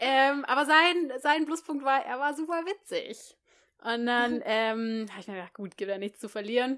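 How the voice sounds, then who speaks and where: A woman's high voice at a moderate pace in a very clean recording with a silent background. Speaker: podcast co-host. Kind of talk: casual chat.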